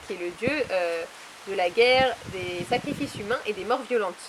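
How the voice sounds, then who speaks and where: A woman at a moderate pace with ordinary pitch variation over noticeable background noise. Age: 20s. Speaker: author and publisher. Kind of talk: interview.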